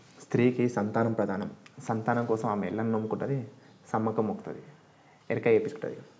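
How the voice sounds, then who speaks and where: This man speaks at a medium pitch. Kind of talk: podcast narration to listeners. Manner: casual, friendly.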